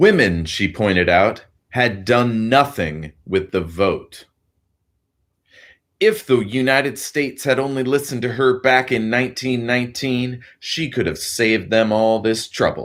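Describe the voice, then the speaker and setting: In a plain, everyday voice, a man of medium pitch speaks at a fairly slow pace with lively intonation on a very clean recording with a silent background. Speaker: audiobook reader. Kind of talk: audiobook narration.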